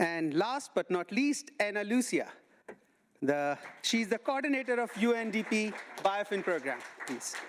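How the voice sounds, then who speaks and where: With an Indian accent, the speaker leaves long, frequent pauses while a crowd murmurs in the background. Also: moderate pace. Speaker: panel moderator. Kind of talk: panel introductions.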